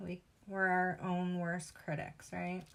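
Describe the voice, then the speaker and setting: A woman with a Western New York accent speaks at a fairly slow pace. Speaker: crafter. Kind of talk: tutorial. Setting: live stream.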